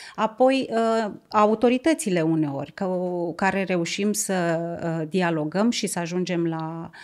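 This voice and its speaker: A woman speaks at a very slow pace with ordinary pitch variation. The background is quiet. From Romania, Tulcea county; Romania. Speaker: environmental NGO director; podcast guest. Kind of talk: interview. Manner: halting. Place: studio. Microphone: studio mic.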